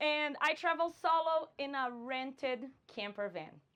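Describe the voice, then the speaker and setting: A high-pitched woman's voice with a Brazilian Portuguese accent and lively intonation. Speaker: vanlife content creator. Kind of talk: conference talk.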